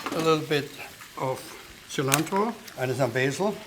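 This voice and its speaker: Noticeable background noise accompanies this man, whose moderate pace carries ordinary pitch variation. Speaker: chef. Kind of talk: cooking demonstration.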